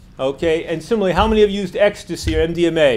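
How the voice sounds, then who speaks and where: Talking at a fairly quick pace, a man uses a high pitch and a New York accent. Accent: American, New York. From United States. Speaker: drug policy activist. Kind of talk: lecture. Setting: lecture hall with audience. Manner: fast.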